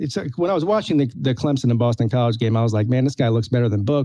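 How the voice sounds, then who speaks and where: The speaker is a man with an American accent. His voice sits at medium pitch with a dark, mellow tone. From United States. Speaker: sports podcast co-host. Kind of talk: casual chat.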